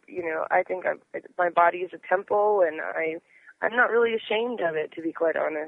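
This is a woman with a plain, everyday voice at medium pitch. She talks at a moderate pace with ordinary pitch variation. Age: 20s. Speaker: model. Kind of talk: casual chat.

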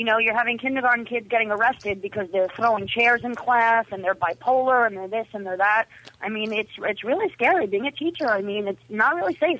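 A woman speaks in a plain, everyday voice at a fairly high pitch and a fairly quick pace. She hardly pauses, and her pitch varies in an ordinary way. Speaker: caller; teacher. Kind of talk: casual chat. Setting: phone call.

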